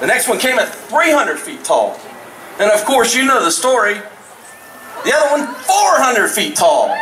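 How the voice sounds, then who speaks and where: An animated, raised and projected male voice at an extremely high pitch, fairly slow in pace, over noticeable background noise. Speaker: roller coaster designer. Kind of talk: live event speech. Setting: outdoor stage with audience.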